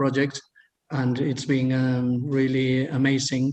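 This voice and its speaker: A man with a Spanish accent talks at a very slow pace. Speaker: agency founder, guest. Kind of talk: interview. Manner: halting, many fillers.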